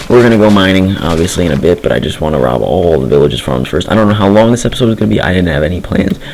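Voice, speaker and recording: Over noticeable background noise and audible room echo, a man talks at a very fast pace. His pitch is very deep and low, with very wide swings. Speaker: gaming youtuber. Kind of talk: gameplay commentary. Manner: fast, rambling. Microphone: poor mic quality.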